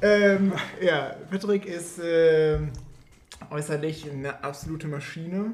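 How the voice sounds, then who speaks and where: A man with a high pitch talks at a very slow pace, with long, frequent pauses and fairly even intonation. Noticeable background noise can be heard. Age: 20s. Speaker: podcast co-host. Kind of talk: casual chat.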